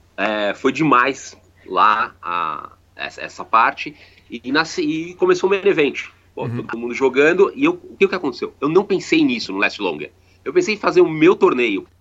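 Here a man talks at a moderate pace. His loudness swings in big ways. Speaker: poker player and sponsor representative. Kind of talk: recorded interview.

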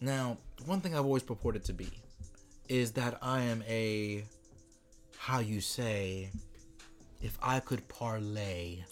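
A man talks at a very slow pace, pausing long and often. Music plays in the background. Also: medium pitch for a man, ordinary pitch variation. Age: 20s. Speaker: podcast co-host. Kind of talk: casual chat.

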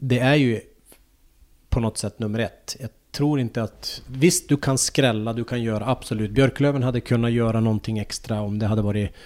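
In an ordinary speaking voice, a man of medium pitch talks at a moderate pace with fairly even intonation, the recording very clean with a silent background. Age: 40s. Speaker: former ice hockey player and coach. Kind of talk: casual interview.

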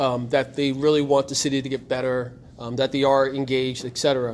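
With an American accent, a man speaks in a fairly high voice. His pace is fairly quick. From Trenton, New Jersey. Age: 40s. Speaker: radio host and media speaker. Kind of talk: presentation to students. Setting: room with student audience. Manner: moves around while speaking.

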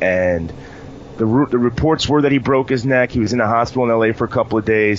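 A man with an American accent talks at a very fast pace in a medium pitch, his loudness very even and his pitch varying in an ordinary way, over noticeable background noise. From New York. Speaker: wrestling podcast host. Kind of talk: casual chat.

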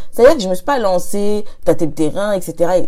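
A woman's medium-pitched voice swings very widely in pitch over noticeable background noise. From Paris suburbs, Hauts-de-Seine. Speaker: podcast host and entrepreneur. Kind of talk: solo podcast monologue. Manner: casual and conversational.

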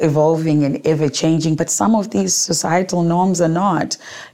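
The voice shows ordinary pitch variation against noticeable background noise. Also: woman. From Zimbabwe, Gweru. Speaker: entrepreneur and author. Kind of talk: interview storytelling. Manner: animated.

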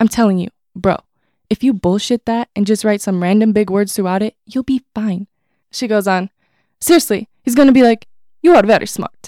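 In an American accent, a woman with a fairly high pitch and a dark, mellow tone speaks in a dry, close sound with no echo. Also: ordinary pitch variation, moderate pace. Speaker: college student author. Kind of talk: reading aloud.

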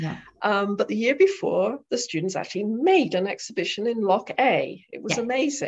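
A woman with an English accent talks at a moderate pace. Her fairly high voice moves in very wide pitch swings. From southwest England, Devon. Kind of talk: interview.

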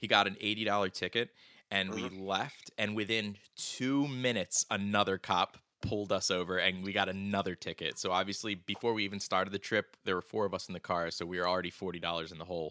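Speaking at a very fast pace, a man with a fairly low pitch and a bright, sharp tone sounds dry and close with no echo on a very clean recording with a silent background. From Philadelphia area. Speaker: podcast host. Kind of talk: casual chat.

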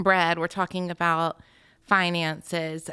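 Fairly low pitch from a woman, bright and sharp in tone with monotone, flat intonation at a fairly slow pace, on a very clean recording with a silent background and a dry, close sound with no echo. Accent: Southern US. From US South, Georgia (Alpharetta). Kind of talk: testimony.

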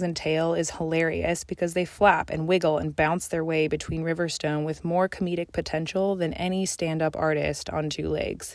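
A woman talks at a moderate pace in a fairly low voice. Her intonation stays flat and monotone. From Colorado. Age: 20s. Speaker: graduate student and nature writer. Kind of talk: reading aloud.

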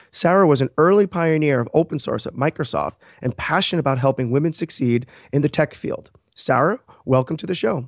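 This man has an unremarkable speaking voice, fairly high in pitch, with ordinary pitch variation and a fairly quick pace. The sound is dry and close with no echo, over a quiet background. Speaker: podcast host. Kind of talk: interview.

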